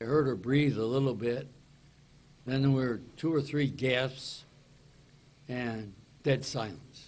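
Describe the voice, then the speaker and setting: This man has a medium pitch and a fairly even intonation. He talks at a very slow pace, with long, frequent pauses. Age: 80s+. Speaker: wilderness survivor. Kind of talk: news conference answer.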